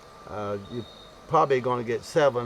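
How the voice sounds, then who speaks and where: A man talks over noticeable background noise. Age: 70s. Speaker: beekeeper. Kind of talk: tutorial. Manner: halting; casual.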